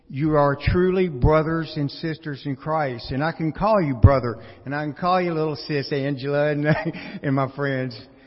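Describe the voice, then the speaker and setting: Noticeable background noise runs behind a man who talks at a moderate pace, with a fairly high pitch and ordinary pitch variation. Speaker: congregation member sharing testimony. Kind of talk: testimony. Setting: church.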